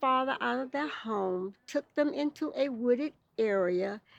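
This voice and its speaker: A woman's high-pitched voice in a Southern US accent, at a very slow pace. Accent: Southern US (Georgia). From Lithonia, Georgia, US. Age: 80s+. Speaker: former student of a segregated school. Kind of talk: oral history interview answer.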